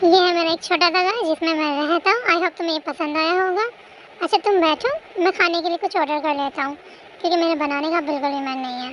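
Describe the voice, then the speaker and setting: A woman's put-on character voice, extremely high-pitched and very fast, over clear background noise. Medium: audio drama. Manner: gentle, caring.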